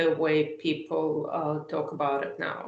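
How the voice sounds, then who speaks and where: A woman speaks at a very slow pace in a Russian accent. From eastern Ukraine (Soviet era). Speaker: political writer. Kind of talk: interview. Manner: hesitant, many fillers.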